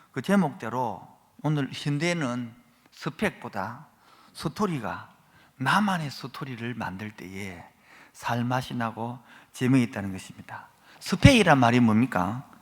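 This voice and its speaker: With a Gyeongsang accent, a man talks at a very slow pace, leaving long, frequent pauses. His intonation is lively, and his loudness swings widely. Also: medium pitch for a man. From Gyeongsang region, Korea. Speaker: guest preacher. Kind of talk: sermon. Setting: church. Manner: animated.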